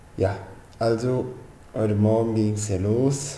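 A man's fairly even intonation comes through light background noise and audible room echo. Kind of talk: casual vlog chat. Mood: relaxed, matter-of-fact. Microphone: webcam.

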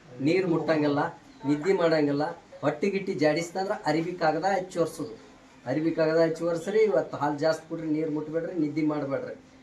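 Fairly high-pitched male voice amid noticeable background noise. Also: fairly even intonation. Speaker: traditional Ayurvedic healer. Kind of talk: instructions to patients; promotional statement to camera. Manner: repetitive.

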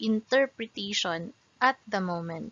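At a very slow pace, a woman talks with ordinary pitch variation. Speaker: presenter. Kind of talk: lecture. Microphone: webcam.

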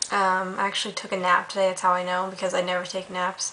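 Light background noise sits behind a woman's voice. She talks at a fairly quick pace. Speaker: student vlogger. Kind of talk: casual vlog chat. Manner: tired, low-energy, slightly unwell voice. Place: home room. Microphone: webcam.

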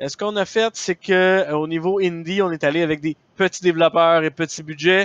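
A man's high voice comes out loud, delivered at a moderate pace. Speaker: gaming streamer. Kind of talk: live stream chat. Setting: live stream.

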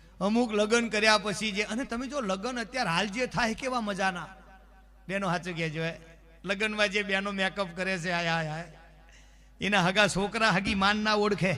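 A man speaks in a raised, projected voice at a high pitch. His tone is bright and sharp, with ordinary pitch variation. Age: 40s. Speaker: folk comedian. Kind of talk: stand-up.

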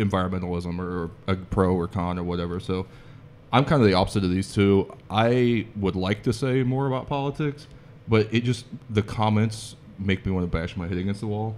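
Over light background noise, a man with an American accent talks at a fairly quick pace in a fairly low pitch, with ordinary pitch variation. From southeastern Ohio. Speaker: comedian. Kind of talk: panel discussion. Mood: relaxed, joking. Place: home room. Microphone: studio mic.

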